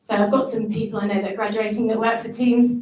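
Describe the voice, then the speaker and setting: Speaking at a fairly high pitch, a woman is heard with audible room echo. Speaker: managing director of training company. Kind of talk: ceremony speech. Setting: stage with audience, venue.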